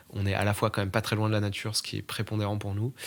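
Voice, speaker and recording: A man speaks at a fairly low pitch. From eastern France. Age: 20s. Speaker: journalist interviewee. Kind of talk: interview testimony. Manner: hesitant, many fillers.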